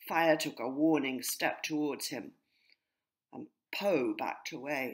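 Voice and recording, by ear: A woman speaks slowly at an extremely low pitch, with a slightly husky edge and ordinary pitch variation.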